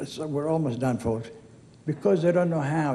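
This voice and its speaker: A man's fairly high-pitched voice has a dark, mellow tone and ordinary pitch variation, with audible room echo. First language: Arabic. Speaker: hall of fame inductee. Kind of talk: acceptance speech. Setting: stage with audience. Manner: casual, digressive storytelling.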